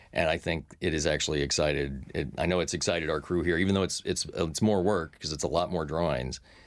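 A man with an American accent talks at a very fast pace in a very deep, low pitch with vocal fry. His intonation is fairly even, and the recording is very clean with a silent background. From Texas. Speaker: cartoon producer. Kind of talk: interview. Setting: studio.

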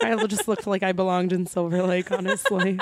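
An unremarkable speaking voice comes through with an American accent. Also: woman, very clean recording, silent background. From Philadelphia area, US East Coast. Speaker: comedian and actress. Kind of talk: casual chat.

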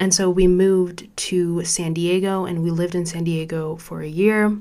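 A woman with an American accent talks in a fairly low pitch with fairly even intonation. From suburbs of Chicago, US Midwest. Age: 20s. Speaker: podcast host, college student. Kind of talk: solo podcast monologue. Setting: studio.

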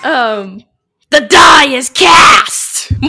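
A female-sounding put-on character voice sits at a high pitch. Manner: dramatic, theatrical.

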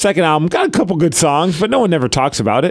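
Very fast and animated, a man speaks at a high pitch with very wide pitch swings. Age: 40s. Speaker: podcast co-host. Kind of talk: casual chat.

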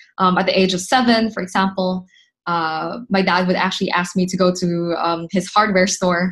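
Fairly even intonation and a moderate pace come in a somewhat breathy voice. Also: woman, quiet background. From Philippines (Manila). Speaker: startup founder. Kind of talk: interview.

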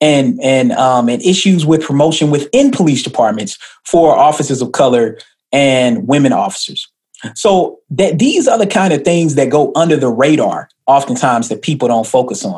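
A man with a fairly high pitch speaks at a moderate pace with lively intonation in a plain, everyday voice. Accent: American. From US South, Atlanta, Georgia. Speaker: sociology professor, policy scholar. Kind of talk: interview. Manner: fluent, articulate.

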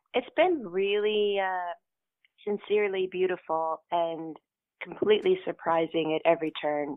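A woman with a plain, everyday voice at medium pitch, at a fairly slow pace with ordinary pitch variation. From Kentucky, US. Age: 50s. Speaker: costume designer. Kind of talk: interview.

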